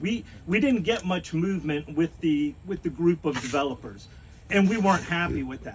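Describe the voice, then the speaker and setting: A man speaks loudly at a moderate pace. His high voice swings very widely in pitch. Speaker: resident speaking at neighborhood meeting. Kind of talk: town hall comment.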